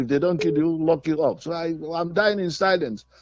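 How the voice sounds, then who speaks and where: Music plays in the background as a man with a high-pitched voice talks at a fairly quick pace. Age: 80s+. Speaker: caller. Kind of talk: phone-in complaint. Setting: phone call. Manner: halting.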